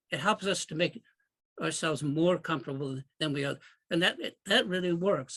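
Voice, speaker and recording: A man speaks at a fairly high pitch with a bright, sharp tone and vocal fry. His pace is moderate and his pitch variation ordinary. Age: 80s+. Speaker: astrologer. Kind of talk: interview. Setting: podcast interview. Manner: halting.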